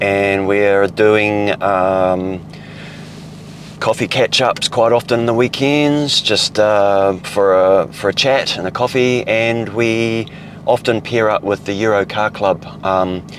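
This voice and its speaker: With a New Zealand accent, a man speaks at a very slow pace in a fairly low pitch. His intonation is fairly even, and there is noticeable background noise. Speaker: car vlogger. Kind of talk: casual vlog narration while driving. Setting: in a car. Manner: loud.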